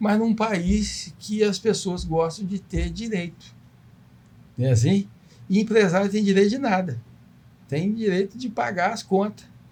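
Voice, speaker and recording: A man with a high pitch talks at a fairly slow pace, with ordinary pitch variation and long, frequent pauses. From Brazil, Volta Redonda (Rio de Janeiro state). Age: 60s. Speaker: businessman. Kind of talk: podcast interview.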